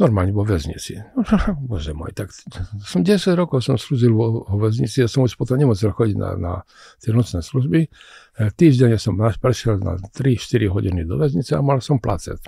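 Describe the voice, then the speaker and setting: A man speaks at a moderate pace in a dark, mellow, somewhat breathy tone, his pitch swinging very widely. The sound is dry with no echo, and the background is quiet. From Czech-born, raised in Košice, eastern Slovakia; Slovakia. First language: Czech (speaking Slovak). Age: 80s+. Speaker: scientist and physician; guest. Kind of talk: interview. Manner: halting, repetitive. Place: studio. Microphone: studio mic.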